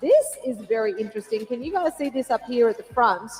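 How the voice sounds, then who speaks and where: A woman with a high voice and an Australian accent at a moderate pace, amid noticeable background noise. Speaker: event commentator. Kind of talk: live commentary. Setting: stadium with audience. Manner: casual, with fillers.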